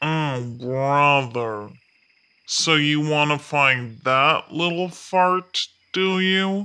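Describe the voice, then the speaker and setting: A put-on, drawling character voice at a very slow pace and low-to-middle pitch, against a quiet background. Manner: lazy, drawling.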